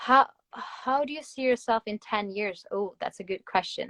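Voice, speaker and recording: With a Norwegian accent, the speaker shows ordinary pitch variation in a dry, close sound with no echo. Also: woman. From Norway. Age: 20s. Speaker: Instagram influencer. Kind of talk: casual livestream chat.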